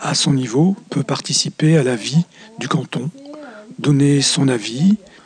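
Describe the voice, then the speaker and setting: A man's voice, pitched fairly high, comes through with noticeable noise behind it. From northern France, Lille. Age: 60s. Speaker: retired volunteer French teacher. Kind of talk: testimony.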